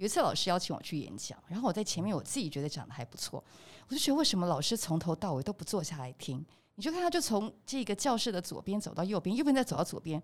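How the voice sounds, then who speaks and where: At a very fast pace, a woman with a medium pitch speaks with very wide pitch swings. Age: 20s. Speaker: podcast host. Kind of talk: casual chat.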